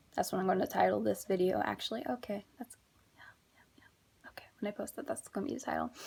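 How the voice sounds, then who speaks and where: This woman talks at a very fast pace, with big swings in loudness. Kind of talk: testimony. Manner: reading from notes; stuttering at times.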